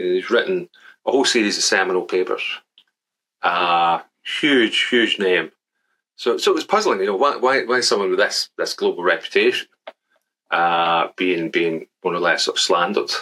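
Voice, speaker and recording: A man with a Glaswegian accent at a moderate pace, with long, frequent pauses. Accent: Glaswegian Scottish. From Scotland, Glasgow. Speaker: statistics professor. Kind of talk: casual interview. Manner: halting, many repetitions.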